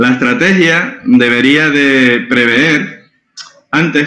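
Audible room echo around a man's fairly high-pitched voice. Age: 40s. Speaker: innovation and strategy consultant. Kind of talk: interview.

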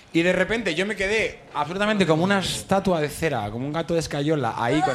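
Audible room echo surrounds a man as he speaks. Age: 30s. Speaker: actor. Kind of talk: casual chat. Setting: stage with audience.

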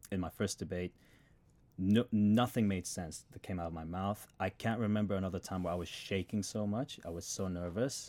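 On a very clean recording with a silent background, a man speaks at a moderate pace with an Australian accent. His very deep, low pitch carries a dark, mellow tone and fairly even intonation. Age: 20s. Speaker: MBA student and engineer. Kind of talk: casual chat.

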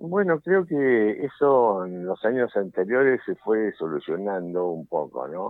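This man's fairly low voice makes very wide pitch swings at a very slow pace with hardly any pauses. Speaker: football club president. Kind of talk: radio interview. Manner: halting.

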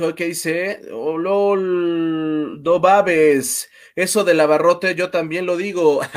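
A man with a high pitch at a very slow pace, fairly even intonation and hardly any pauses, on a very clean recording with a silent background. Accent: Mexican. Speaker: livestream host. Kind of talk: casual chat.

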